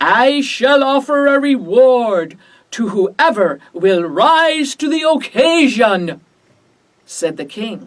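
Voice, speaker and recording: Speaking very slowly in a put-on character voice, a woman uses a high pitch with very wide pitch swings. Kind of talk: children's story reading.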